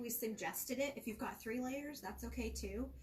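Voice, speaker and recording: A woman talks at a fairly high pitch, with noticeable background noise behind her. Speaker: cake decorating instructor. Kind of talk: live tutorial. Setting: live stream from a shop. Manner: soft-spoken.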